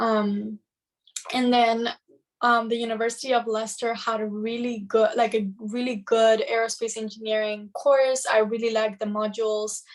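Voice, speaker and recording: At a moderate pace, the speaker delivers the words in a monotone, flat intonation with a Spanish accent. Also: woman, fairly high pitch for a woman. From Madrid, Spain. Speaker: engineering student mentor. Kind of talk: casual chat.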